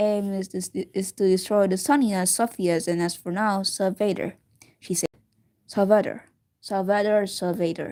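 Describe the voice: Plain reading aloud with fairly even intonation against a quiet background.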